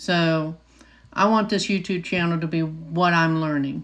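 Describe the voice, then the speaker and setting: In a normal speaking voice, a woman with an American accent talks at a fairly slow pace and a fairly low pitch. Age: 60s. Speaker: nurse. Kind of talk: casual talk to camera.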